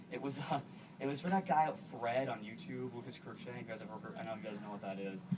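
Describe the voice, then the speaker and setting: Very wide pitch swings mark this man's very fast speech in an American accent. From US Northeast, Boston. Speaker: actor and guest speaker. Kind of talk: public speech. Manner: halting, repetitive. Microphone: poor video quality.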